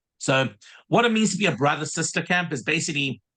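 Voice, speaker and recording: Talking at a fairly quick pace, a man with a South African accent has a bright, sharp tone and lively intonation. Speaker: summer camp director. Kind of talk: casual interview. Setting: video call.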